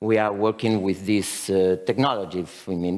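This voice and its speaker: This man has a Spanish accent. He talks at a fairly slow pace. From Spain. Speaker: company founder presenting at a conference. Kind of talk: conference presentation. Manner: halting, many fillers.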